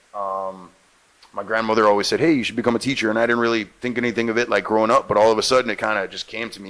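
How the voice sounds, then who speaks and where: Through noticeable background noise, a man of medium pitch talks at a very fast pace with fairly even intonation. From Jamaica. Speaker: actor and radio host. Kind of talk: interview.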